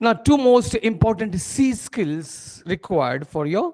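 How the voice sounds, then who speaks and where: A man with an Indian accent speaks at a very slow pace with very wide pitch swings. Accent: Indian English, Telugu-Marathi. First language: Telugu. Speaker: corporate trainer. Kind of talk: training seminar. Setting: seminar hall with audience. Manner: interactive, asks audience questions.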